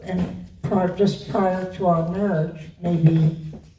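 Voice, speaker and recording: In an American accent, a woman with a fairly low pitch speaks at a very slow pace, with audible room echo. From US Northeast, Rockland County, New York. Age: 90s. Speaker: longtime trustee of a literary society. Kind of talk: interview before an audience.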